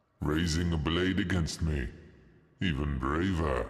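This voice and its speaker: In a put-on character voice, a man speaks quietly at a fairly slow pace with a very deep, low pitch. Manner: solemn, eerie, praising the opponent's bravery.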